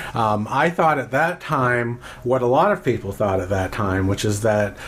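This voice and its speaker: A man speaks at a moderate pace and a fairly low pitch as noticeable noise sounds in the background. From Maine. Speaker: mayoral candidate, attorney. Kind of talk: interview.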